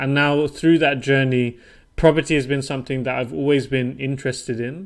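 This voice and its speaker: A man with a British accent, medium pitch, fairly even intonation and a moderate pace, on a very clean recording with a silent background. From southern England, Portsmouth. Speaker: property investor. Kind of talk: podcast interview.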